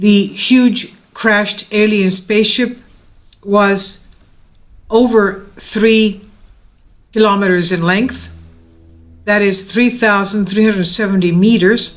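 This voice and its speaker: With music in the background, a woman at medium pitch speaks at a very slow pace in a monotone, flat intonation, with very even loudness and long, frequent pauses. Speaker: video narrator. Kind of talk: reading aloud. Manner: halting.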